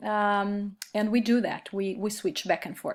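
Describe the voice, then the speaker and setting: A woman with a Brazilian Portuguese accent at a fairly slow pace, in a very clean recording with a silent background. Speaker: Spanish teacher. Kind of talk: recorded course reflection. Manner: hesitant, many fillers.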